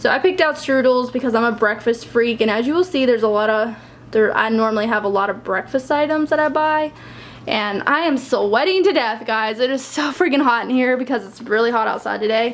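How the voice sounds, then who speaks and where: This woman speaks at a fairly quick pace, her voice high-pitched with ordinary pitch variation. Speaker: lifestyle vlogger. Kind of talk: casual vlog haul. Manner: fast.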